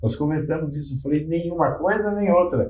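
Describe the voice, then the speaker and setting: A man's dark, mellow voice at a moderate pace, with audible room echo. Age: 60s. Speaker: physician. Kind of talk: panel discussion.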